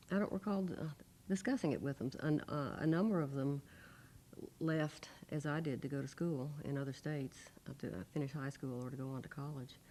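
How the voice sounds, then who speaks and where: With a Southern US accent, a woman speaks fairly quickly in a very deep, low voice. Her tone is dark and mellow, and her pitch varies in an ordinary way. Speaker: former student, civil rights witness. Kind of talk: oral history interview answer.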